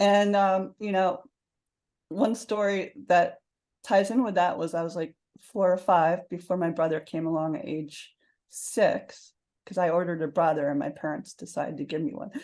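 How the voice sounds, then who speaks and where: A woman talks at a moderate pace with a fairly low pitch and ordinary pitch variation. The background is quiet. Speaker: author and success coach. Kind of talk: interview.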